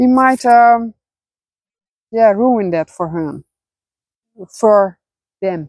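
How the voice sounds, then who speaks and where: Speaking at a very slow pace with long, frequent pauses, a woman with a Dutch accent uses lively intonation. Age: 40s. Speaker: spiritual vlogger. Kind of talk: personal vlog monologue. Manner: halting, many fillers.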